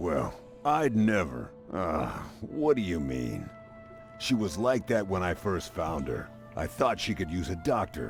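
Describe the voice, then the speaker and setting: A man's put-on character voice, very deep and low, with very wide pitch swings at a fairly slow pace over clear music in the background. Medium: game stream. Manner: meek, earnest.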